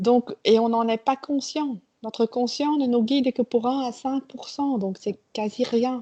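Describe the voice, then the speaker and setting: With a Flemish accent, a woman talks at a very slow pace and high pitch with fairly even intonation, in a dry, close sound with no echo. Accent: Flemish Dutch accent in French. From Belgium (Flemish). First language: Dutch (speaking French). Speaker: trainer. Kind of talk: interview. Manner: halting.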